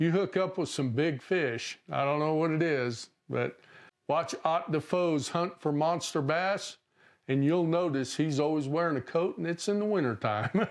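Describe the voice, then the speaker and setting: With a normal speaking voice, a man talks at a moderate pace with ordinary pitch variation and very even loudness against a quiet background. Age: 60s. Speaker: fishing channel host. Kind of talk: tutorial. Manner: casual.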